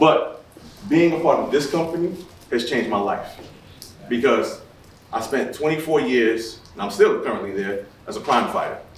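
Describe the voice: With strong room echo, a man speaks at a medium pitch with ordinary pitch variation.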